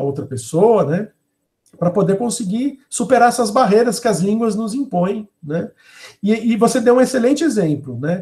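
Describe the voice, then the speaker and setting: A man with a high pitch and a dark, mellow tone moves through very wide pitch swings. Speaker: professor. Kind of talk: webinar lecture and Q&A.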